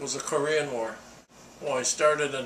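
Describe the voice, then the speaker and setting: Pitched fairly high, a man keeps his intonation fairly even while noticeable background noise runs underneath. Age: 80s+. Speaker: Korean War veteran. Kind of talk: interview answer.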